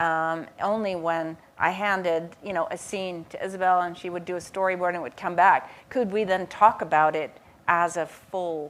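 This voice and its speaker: In a very clean recording with a silent background, a woman talks at a moderate pace in a monotone, flat intonation. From Netherlands. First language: Dutch. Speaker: professor and author. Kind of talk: panel conversation. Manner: halting.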